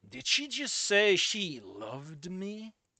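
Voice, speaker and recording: In a put-on character voice, a man speaks gruff and raised, projected, with high pitch and a fairly slow pace. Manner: hard-boiled, suspicious.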